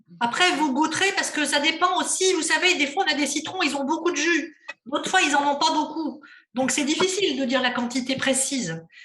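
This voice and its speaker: This woman's voice is raised and projected, high in pitch. She moves at a fairly quick pace with ordinary pitch variation. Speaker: cooking workshop instructor. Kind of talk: cooking class demonstration.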